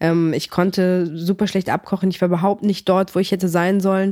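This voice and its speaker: A woman speaks at medium pitch in a dark, mellow tone with monotone, flat intonation. The recording is very clean with a silent background, and the sound is dry and close with no echo. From Greece (came to Germany as a small child, early 90s). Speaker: MMA fighter and sports physiotherapist. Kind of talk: casual interview chat.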